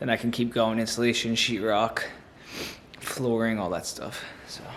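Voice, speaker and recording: With an American accent, a man talks at medium pitch and a moderate pace, his intonation monotone and flat, over noticeable background noise. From New Jersey. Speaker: homesteader vlogger. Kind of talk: casual vlog narration.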